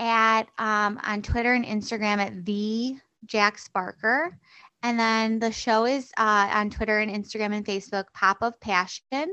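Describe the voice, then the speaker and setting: In an American accent, a woman speaks at a fairly slow pace with fairly high pitch and an ordinary speaking voice. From US Midwest (Chicago). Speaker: stand-up comedian and podcast host. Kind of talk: casual chat.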